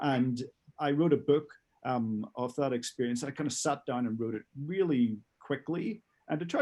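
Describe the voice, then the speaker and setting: A man with a dark, mellow tone at a moderate pace. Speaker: former police advisor and author. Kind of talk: webinar talk.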